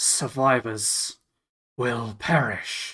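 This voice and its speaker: A man puts on a raspy character voice. It sits at a medium pitch with fairly even intonation. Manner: menacing, booming.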